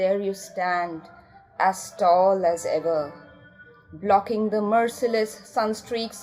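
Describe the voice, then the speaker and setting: Music plays in the background as the speaker goes at a very slow pace with ordinary pitch variation. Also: woman. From India. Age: 40s. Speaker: poet. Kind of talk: poetry reading.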